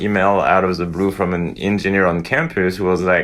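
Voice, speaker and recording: A man speaks with a French accent at a moderate pace. His very deep, low pitch stays monotone and flat. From northern France. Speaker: veterinary imaging professor. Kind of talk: podcast interview.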